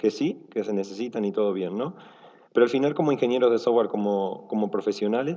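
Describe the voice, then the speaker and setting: Lively intonation runs through this man's speech. He talks at a very fast pace. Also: medium pitch for a man. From Argentina. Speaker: software engineer, conference speaker. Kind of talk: conference talk. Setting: stage with audience. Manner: relaxed, casual with many fillers.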